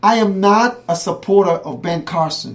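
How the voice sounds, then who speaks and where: The speaker has an animated tone and a Caribbean accent. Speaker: political commentator. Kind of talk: heated debate. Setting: radio show streamed live.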